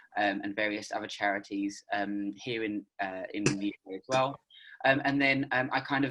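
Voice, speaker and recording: The voice has a bright, sharp tone and a British accent. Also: man. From United Kingdom. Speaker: freelance journalist. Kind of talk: panel discussion. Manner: hesitant, many fillers.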